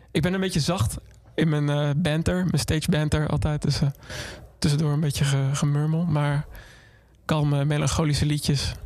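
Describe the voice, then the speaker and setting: A man speaks at a moderate pace and fairly high pitch, with fairly even intonation and very even loudness. He leaves long, frequent pauses. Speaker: musician. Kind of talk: casual interview. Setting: studio.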